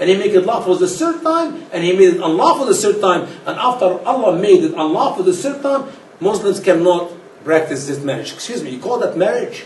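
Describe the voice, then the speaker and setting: An animated man, high-pitched with very wide pitch swings, at a fairly quick pace amid noticeable background noise and audible room echo. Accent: non-native. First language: not English. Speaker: speaker on religion. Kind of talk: lecture.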